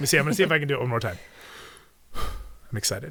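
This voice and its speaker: This man talks in an energetic tone. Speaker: podcast host. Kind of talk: casual chat. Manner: hyper, energetic.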